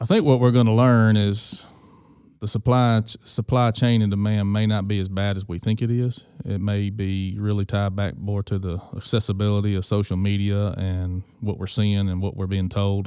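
On a very clean recording with a silent background, a man speaks with a Mississippi accent. His fairly low voice has a dark, mellow tone, fairly even intonation and a moderate pace. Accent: US Southern (Mississippi). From Mississippi Delta, Greenville. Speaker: agricultural lender. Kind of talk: casual interview. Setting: at a conference event.

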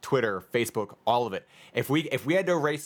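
The recording is very clean, with a silent background. A man with an American accent talks at a fairly quick pace in an ordinary speaking voice, his intonation lively. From New York. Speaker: podcast host. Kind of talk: casual chat.

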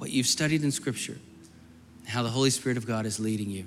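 With audible room echo, a man at medium pitch talks at a very fast pace in a bright, sharp tone. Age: 40s. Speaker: guest preacher and youth minister. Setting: church sanctuary with congregation and altar. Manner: earnest, pastoral and urgent, with repeated phrases like as soon as I say amen; run-on and flowing, words tumbling together with few pauses.

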